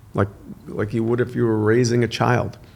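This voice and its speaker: Vocal fry is audible in this man's voice. He talks with an American accent. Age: 60s. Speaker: son of a film star, podcast guest. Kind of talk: casual interview chat.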